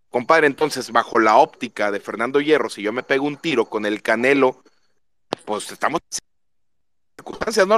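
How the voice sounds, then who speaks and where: Animated and lively in intonation, a man speaks at a moderate pace and fairly high pitch, with a dry, close sound and no echo. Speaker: football fan. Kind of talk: casual chat.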